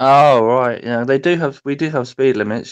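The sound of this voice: Against a quiet background, a man with a British accent speaks with fairly even intonation.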